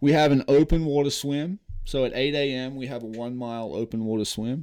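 This man has a medium pitch and a dark, mellow tone, with an American accent. The background is quiet. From Australia. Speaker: former professional baseball player and charity founder. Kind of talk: casual interview.

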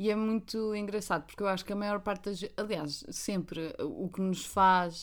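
Very clean, with a silent background, the recording captures a woman with a European Portuguese accent at medium pitch, moving at a moderate pace with hardly any pauses and fairly even intonation. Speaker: podcast co-host. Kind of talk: casual chat.

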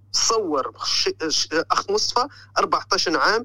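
In a raised, projected voice with a bright, sharp tone, a man with a Tunisian accent speaks with lively intonation. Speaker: caller, postal worker living in Belgium. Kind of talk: phone-in call.

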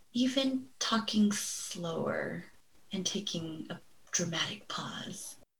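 A woman with an American accent speaks very slowly at a medium pitch, with audible echo from the room. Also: lively intonation. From Los Angeles, US. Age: 40s. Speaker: mental health therapist. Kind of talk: interview.

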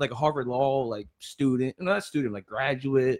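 At a fairly quick pace, a man of medium pitch talks in an unremarkable speaking voice, recorded dry and close with no echo. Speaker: guest on sports podcast. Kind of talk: casual chat. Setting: studio.

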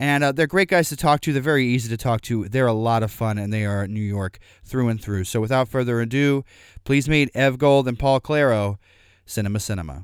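A man speaks fairly quickly in an unremarkable speaking voice, at a medium pitch with ordinary pitch variation. The recording is very clean, with a silent background and a dry, close sound with no echo. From Missouri and Arkansas, US. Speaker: podcast host. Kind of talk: casual interview chat.

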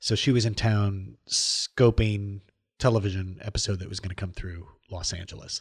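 In a quiet background, a somewhat breathy man talks at a moderate pace with a fairly low pitch and fairly even intonation. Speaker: podcast host. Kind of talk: casual interview. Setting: studio.

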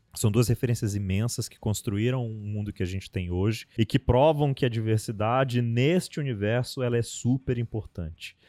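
This man speaks with hardly any pauses in a medium pitch and a dark, mellow tone, his loudness swinging widely. The recording is very clean with a silent background and a dry, close sound with no echo. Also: ordinary pitch variation, moderate pace. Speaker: podcast host. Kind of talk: casual panel discussion.

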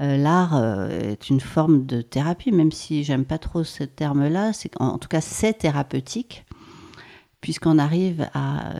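With a very deep, low pitch and a dark, mellow tone, a woman speaks fairly slowly using lively intonation. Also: dry, close sound with no echo. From French Alps (Maurienne, Savoie). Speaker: former dancer and choreographer, body-mind practitioner. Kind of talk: casual interview. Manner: hesitant, many fillers.

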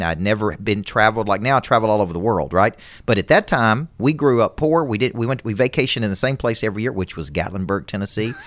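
In a very clean recording with a silent background, a man speaks very fast at a fairly low pitch, with ordinary pitch variation and hardly any pauses. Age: 40s. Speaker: business coach and motivational speaker. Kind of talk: podcast interview.

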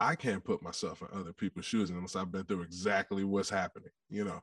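This man has an unremarkable speaking voice, a fairly low pitch, and a moderate pace, with a dry, close sound and no echo against a quiet background. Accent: American. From Detroit, US Midwest. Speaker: musician and former football player. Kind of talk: casual interview.

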